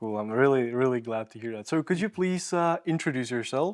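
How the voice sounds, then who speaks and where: Speaking at a fairly quick pace, a man uses a medium pitch and lively intonation in a plain, everyday voice. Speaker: podcast host. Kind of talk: podcast interview questions.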